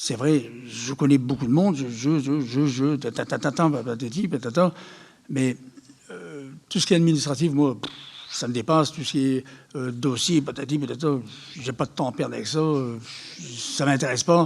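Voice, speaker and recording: A man talks at a moderate pace with a fairly high pitch. His pitch varies in an ordinary way, and he takes long, frequent pauses. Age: 60s. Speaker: charity volunteer organiser. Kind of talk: public talk. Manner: animated, hesitant with repetitions.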